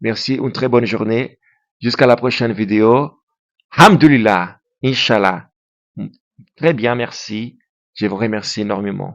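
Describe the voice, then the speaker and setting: A man with a non-native accent, medium pitch, ordinary pitch variation and a fairly slow pace. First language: Portuguese (speaking French). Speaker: YouTuber. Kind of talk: monologue to camera. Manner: halting; impassioned.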